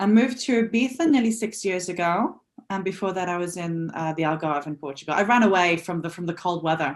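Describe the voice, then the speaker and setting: Ordinary pitch variation at a very fast pace. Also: woman, fairly low pitch for a woman. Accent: English. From northern England, Newcastle. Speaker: nonprofit founder. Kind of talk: interview.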